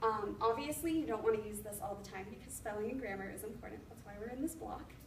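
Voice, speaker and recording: Over noticeable background noise and audible room echo, a woman talks very fast in a fairly high voice, her loudness swinging widely while her pitch varies in an ordinary way. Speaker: education student presenting. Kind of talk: class presentation.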